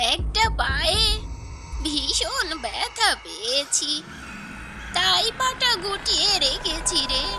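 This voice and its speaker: Over loud background noise, a cartoonish character voice that sounds female squeaks at an extremely high pitch and a very slow pace. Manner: sly, feigning frailty.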